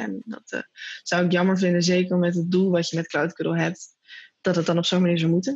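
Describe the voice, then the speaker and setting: An unremarkable speaking voice, this woman's fairly low pitch holds a fairly even intonation at a fairly quick pace. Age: 20s. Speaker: social entrepreneur. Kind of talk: interview.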